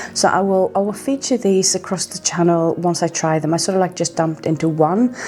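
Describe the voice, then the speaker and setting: A woman with a Norwegian accent speaks at a fairly quick pace in a fairly low pitch, with ordinary pitch variation and noticeable background noise. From Norway. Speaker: skincare vlogger. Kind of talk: product review vlog.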